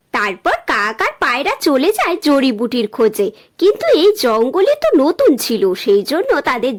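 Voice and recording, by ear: A woman's high voice moves through big pitch swings.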